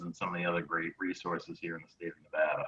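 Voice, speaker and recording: A man's very deep, low-pitched voice. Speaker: tech company co-founder and CEO. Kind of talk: webinar presentation. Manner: halting, many fillers.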